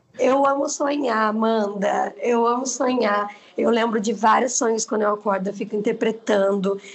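At a moderate pace with hardly any pauses, a woman speaks at a fairly high pitch with fairly even intonation and very even loudness over noticeable background noise. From Brazil, Osasco (São Paulo). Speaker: social media influencer. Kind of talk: casual interview chat.

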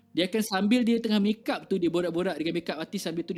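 The man speaks at a very fast pace with a high pitch. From Malaysia, born Kelantan, raised partly in Kuching, Sarawak. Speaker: music festival organiser and indie scene figure. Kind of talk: casual interview chat. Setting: live stream.

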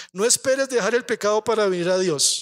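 In an animated tone, a man talks at a moderate pace. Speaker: pastor. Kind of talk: sermon.

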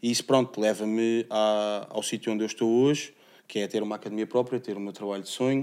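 With big swings in loudness, a man talks at a very fast pace in a fairly low pitch and a monotone, flat intonation. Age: 30s. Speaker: MMA athlete and gym owner. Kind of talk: casual interview.

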